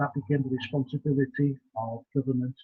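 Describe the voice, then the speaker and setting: In a Welsh accent, a man speaks at a fairly quick pace with fairly even intonation. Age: 70s. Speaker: community development lecturer. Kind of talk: lecture. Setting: video call. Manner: halting with frequent fillers.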